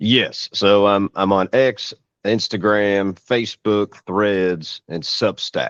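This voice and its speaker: A man with a Kentucky accent speaks at a very slow pace and a fairly low pitch, with fairly even intonation and a dry, close sound with no echo. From Louisville, Kentucky. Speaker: blogger, panel guest. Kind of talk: casual panel discussion.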